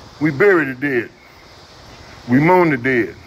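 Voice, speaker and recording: There is noticeable background noise. The pitch variation is ordinary. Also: man. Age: 70s. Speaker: activist. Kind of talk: rally speech. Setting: outdoors. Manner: animated; loud.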